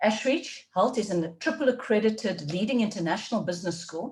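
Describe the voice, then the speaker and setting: In a South African accent, a woman speaks at a fairly quick pace. Her voice is somewhat breathy, and her intonation is lively. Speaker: leadership development faculty, webinar host. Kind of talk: webinar presentation.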